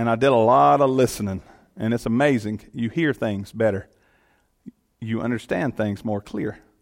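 A man with a Southern US accent at a moderate pace, long, frequent pauses and ordinary pitch variation. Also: medium pitch for a man. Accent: Southern US (Georgia). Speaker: elected official and guest speaker. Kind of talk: sermon. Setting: church.

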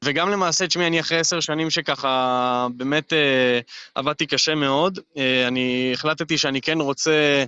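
At a moderate pace and a fairly high pitch, a man speaks with hardly any pauses, fairly even intonation and very even loudness. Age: 30s. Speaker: real estate agent. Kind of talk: interview. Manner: hesitant, many fillers.

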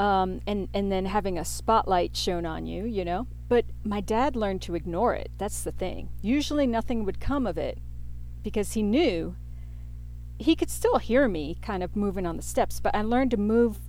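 At a moderate pace, a woman talks with audible room echo around her. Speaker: podcast host, tarot and astrology reader. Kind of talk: solo podcast monologue with tarot reading. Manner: rambling, off the cuff with fillers.

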